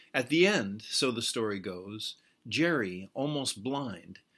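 Against a quiet background, a man speaks at a very slow pace. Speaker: poet. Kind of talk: poetry reading, narrative poem read aloud to camera. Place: home room. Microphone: webcam.

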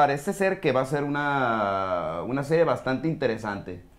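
The man's intonation is lively. He speaks at a very slow pace. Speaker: sports podcaster. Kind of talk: casual chat. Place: studio.

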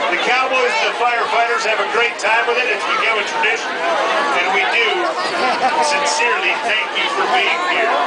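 Loud background noise surrounds a man talking at a moderate pace. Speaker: auctioneer. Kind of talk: live event announcing. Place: street.

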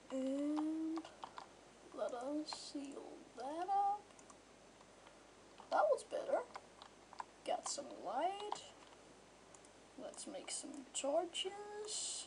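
A woman speaks at an extremely high pitch, very slowly, with lively intonation and long, frequent pauses. Noticeable background noise runs underneath. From Denmark. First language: Danish. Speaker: gamer. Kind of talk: casual gameplay commentary.

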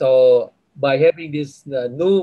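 A man's fairly high, somewhat breathy voice with a dark, mellow tone and fairly even intonation, at a moderate pace over a quiet background. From Indonesia. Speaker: business school director. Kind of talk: closing remarks. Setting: video call. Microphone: video call.

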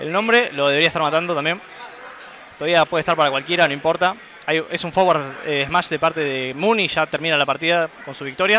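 A man with a fairly high pitch and ordinary pitch variation talks at a fairly quick pace, with noticeable background noise around him. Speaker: esports commentator. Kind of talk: live commentary. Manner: animated.

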